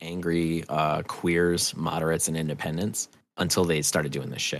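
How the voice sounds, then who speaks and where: A man with a New England accent and a very deep, low pitch, at a moderate pace, in a very clean recording with a silent background. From New Hampshire. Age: 40s. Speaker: audio drama creator. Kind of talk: casual chat. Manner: animated.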